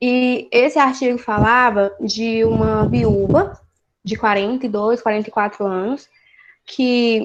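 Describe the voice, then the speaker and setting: Her pitch rises and falls in an ordinary way. The woman's voice sits fairly high. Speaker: study group teacher. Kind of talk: lecture.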